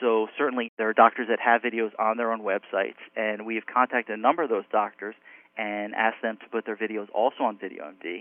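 A man with an American accent and an unremarkable speaking voice, medium in pitch, fairly quick and fairly even in intonation. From New York / New Jersey area. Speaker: cardiologist. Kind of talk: interview.

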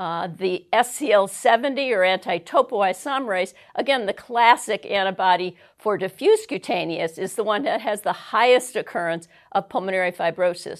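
A woman with a plain, everyday voice talks at a moderate pace with lively intonation against a quiet background. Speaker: rheumatologist. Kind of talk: medical lecture presentation.

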